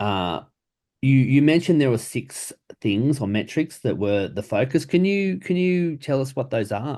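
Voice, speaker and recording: This man's dark, mellow tone moves through very wide pitch swings at a moderate pace. The background is quiet. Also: medium pitch for a man. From outside the US, rugby country. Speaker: podcast host. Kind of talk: interview.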